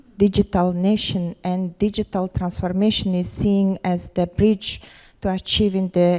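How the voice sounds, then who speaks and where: With a Mongolian accent, a woman speaks at a fairly slow pace in a medium pitch with a dark, mellow tone, on a very clean recording with a silent background. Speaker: government education official. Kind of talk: conference panel presentation. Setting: conference forum with audience. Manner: halting, many fillers.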